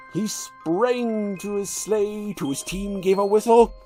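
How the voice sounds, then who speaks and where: A put-on character voice speaks at a fairly high pitch and a fairly slow pace. Faint music plays in the background. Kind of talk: poetry reading.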